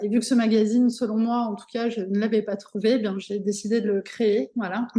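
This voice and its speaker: A woman with a dark, mellow tone and a fairly high pitch speaks at a fairly quick pace in a monotone, flat intonation. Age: 40s. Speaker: entrepreneur, magazine publisher. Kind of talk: interview. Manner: halting, many fillers.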